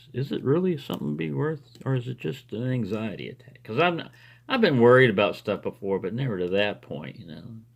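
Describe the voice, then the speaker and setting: A man of medium pitch speaks at a very fast pace, with very wide pitch swings and big swings in loudness. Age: 60s. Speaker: lockpicking hobbyist video maker. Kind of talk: casual monologue while lockpicking. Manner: conversational with fillers and hesitations.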